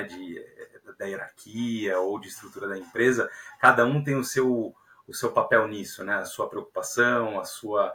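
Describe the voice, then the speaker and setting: A man is speaking. His pace is fairly slow. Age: 30s. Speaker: software engineering leader. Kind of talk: podcast interview. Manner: hesitant, many fillers.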